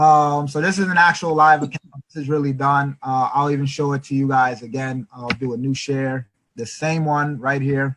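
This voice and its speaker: A man at a moderate pace with hardly any pauses, fairly high in pitch with fairly even intonation, in a dry, close sound with no echo. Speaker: forex trader and trading mentor. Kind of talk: screen-share demonstration. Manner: low-key, reserved; monotone.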